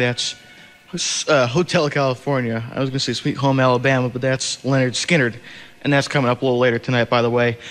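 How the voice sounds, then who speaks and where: A man's medium-pitched voice, monotone and flat, at a very fast pace with music in the background. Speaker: college radio DJ. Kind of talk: college radio DJ aircheck. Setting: over-the-air radio broadcast.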